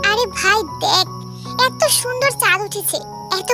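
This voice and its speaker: A woman performs in a put-on character voice. Loud music plays in the background. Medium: audio drama. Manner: playful, boastful.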